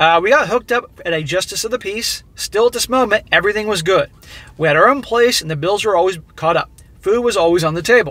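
Raised and projected, a man's high-pitched voice comes through bright and sharp, with lively intonation, a fairly quick pace and a dry sound with no echo. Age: 40s. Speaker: YouTube commentator reading viewer stories. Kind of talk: commentary on a read-out email. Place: car. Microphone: phone near.

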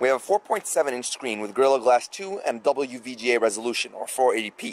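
A man speaks at a fairly quick pace with lively intonation and a medium pitch.

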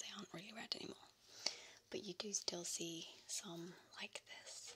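A woman's whisper at a fairly slow pace. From England. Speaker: ASMR creator. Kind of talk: ASMR soft-spoken show and tell. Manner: soft-spoken, partly whispered. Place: home room. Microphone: studio mic.

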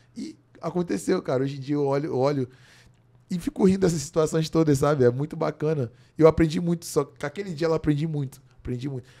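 Over a quiet background, a man with a dark, mellow tone and a fairly high pitch talks at a very fast pace. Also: ordinary pitch variation. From Brazil. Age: 20s. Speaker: jiu-jitsu athlete; podcast guest. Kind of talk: casual chat. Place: studio. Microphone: studio mic.

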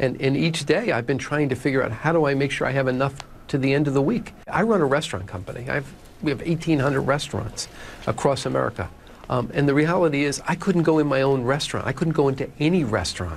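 A man talking very fast over light background noise. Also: ordinary pitch variation. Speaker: interview guest. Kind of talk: interview answer. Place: studio. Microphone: lapel.

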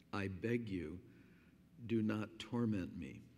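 A man speaks quietly in a fairly low voice with vocal fry. His pitch variation is ordinary. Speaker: pastor. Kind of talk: sermon. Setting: church. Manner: slow and quiet to save voice. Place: church. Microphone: podium.

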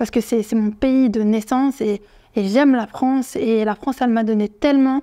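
Over a quiet background, a woman speaks in a dark, mellow tone with fairly even intonation. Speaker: vlogger. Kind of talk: casual vlog commentary. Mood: indignant, earnest. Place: home room.

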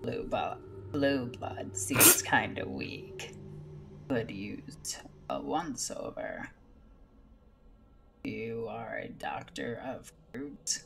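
Using a put-on character voice, a man speaks at a very slow pace with long, frequent pauses over clear background noise. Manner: hard-to-do character voice.

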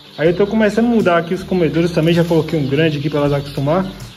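A man speaks over light background noise. His pitch moves with ordinary variation. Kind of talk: casual vlog chat. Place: farm machine. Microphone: phone near.

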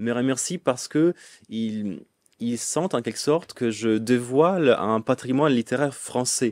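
A man speaks at a medium pitch with an Italian accent. The sound is dry and close with no echo. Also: ordinary pitch variation, very clean recording, silent background. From northern Italy, Lombardy. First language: Italian (speaking French). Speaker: medievalist scholar. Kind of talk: interview. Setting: studio.

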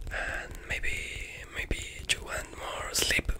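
Amid loud background noise, a man is whispering in a soft-spoken way. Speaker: ASMR creator. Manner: soft, slow ASMR whisper. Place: home room. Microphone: studio mic.

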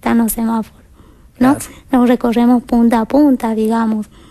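A woman with a high-pitched yet dark, mellow tone speaks in a monotone, flat intonation at a moderate pace against a quiet background. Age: 20s. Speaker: interview guest. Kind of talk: TV interview testimony. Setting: TV studio. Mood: calm, earnest. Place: studio. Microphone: headset.

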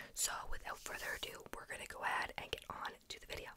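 Whispering at a fairly quick pace, a woman speaks. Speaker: ASMR creator. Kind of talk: ASMR whisper video. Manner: whispered. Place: home room. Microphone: studio mic.

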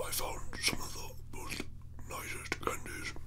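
A man whispering in a put-on character voice at a moderate pace, over loud background noise. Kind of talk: ASMR talking to camera.

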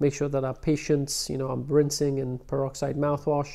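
A dark, mellow tone in a London accent, with monotone, flat intonation at a moderate pace over a quiet background. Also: man. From London, England. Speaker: prosthodontist; interviewee. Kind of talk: interview. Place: office.

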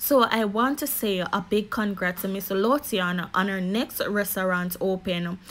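A woman speaks with a Jamaican accent at a medium pitch and a fairly slow pace. Her pitch varies in an ordinary way, with noticeable background noise behind her. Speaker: YouTube commentary vlogger. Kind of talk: casual vlog monologue.

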